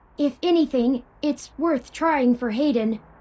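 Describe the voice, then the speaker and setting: A female-sounding voice puts on a character voice, pitched high for a woman and delivered at a fairly slow pace. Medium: video game. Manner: polite, precise, statistical phrasing.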